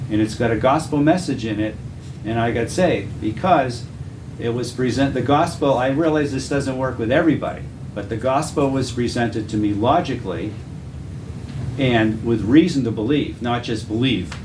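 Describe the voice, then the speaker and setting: A man is speaking with audible room echo. Noticeable background noise is present too. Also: medium pitch for a man, ordinary pitch variation, moderate pace. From Massachusetts, Boston area. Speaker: Bible teacher. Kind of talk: testimony.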